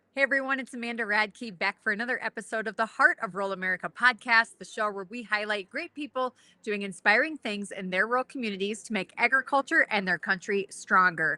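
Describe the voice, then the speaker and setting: A woman with a South Dakota accent speaks at a very fast pace with hardly any pauses, in a fairly high pitch and a bright, sharp tone, with a dry, close sound and no echo. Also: ordinary pitch variation. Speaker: podcast host. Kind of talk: interview. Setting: at a conference.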